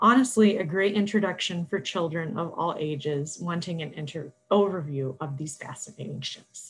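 Her voice is fairly low and somewhat breathy. The woman keeps a moderate pace. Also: ordinary pitch variation, big swings in loudness. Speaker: librarian. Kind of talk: scripted book recommendations.

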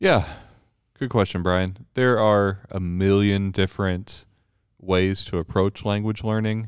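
On a very clean recording with a silent background, a man talks at a fairly slow pace in a fairly low, monotone, flat voice. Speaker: priest. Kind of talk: casual chat. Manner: slow talker.

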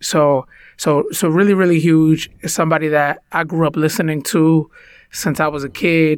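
In a very clean recording with a silent background, a man speaks at a fairly high pitch with a Spanish accent. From United States. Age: 30s. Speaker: podcast co-host and minister. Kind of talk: casual chat.

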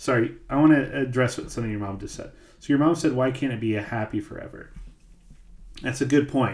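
A man with an American accent, medium pitch and ordinary pitch variation, somewhat breathy, at a fairly quick pace with big swings in loudness. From US Midwest. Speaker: podcast host. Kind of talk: casual chat. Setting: live stream.

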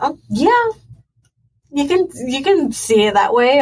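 A somewhat breathy woman's voice at a fairly slow pace with lively intonation. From Puerto Rico. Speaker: chiropractic student. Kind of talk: casual interview.

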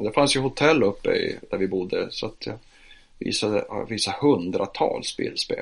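Here a man talks at a fairly slow pace. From northern Sweden, Piteå. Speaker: photographer and church social worker. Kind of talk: interview.

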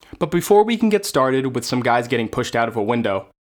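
An ordinary speaking voice from a man with an American accent, medium in pitch, at a fairly quick pace. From United States. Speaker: history podcast host. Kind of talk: scripted narration, history lecture.

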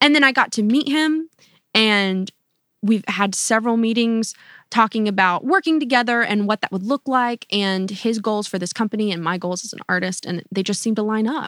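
A plain, everyday voice with an American accent, ordinary pitch variation and a moderate pace. The recording is very clean with a silent background and a dry, close sound with no echo. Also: woman, fairly high pitch for a woman. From North Carolina. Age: 20s. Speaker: pop singer-songwriter. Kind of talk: interview conversation.

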